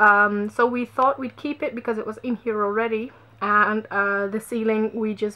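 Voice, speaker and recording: A woman with a non-native accent speaks at a fairly slow pace with fairly even intonation. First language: not English. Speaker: vlogger. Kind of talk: casual vlog walkthrough. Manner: hesitant, many fillers.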